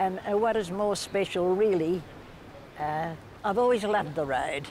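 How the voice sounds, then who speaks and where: In a room with audible echo, a woman speaks at a moderate pace and medium pitch with ordinary pitch variation. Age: 80s+. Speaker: local resident. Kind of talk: interview.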